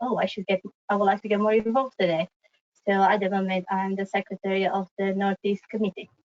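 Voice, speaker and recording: A woman with a Romanian accent speaks at a medium pitch. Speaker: civil engineer. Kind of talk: webinar presentation. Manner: fast.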